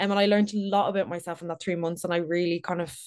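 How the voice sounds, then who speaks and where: With a Dublin accent, a woman talks at a very fast pace. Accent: Dublin Irish. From Ireland, Dublin. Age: 30s. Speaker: content creator. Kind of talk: casual chat.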